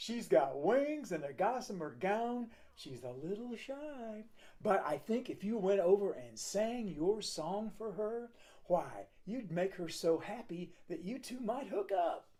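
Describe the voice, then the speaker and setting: The speaker uses a put-on character voice with a fairly high pitch, talking at a fairly slow pace. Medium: read story. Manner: folksy, warm.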